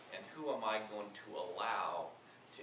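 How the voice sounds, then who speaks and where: With an American accent, a man talks at a very slow pace over noticeable background noise. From US Northeast (Boston, Washington D.C.). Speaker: panel moderator. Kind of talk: panel discussion. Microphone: camera far.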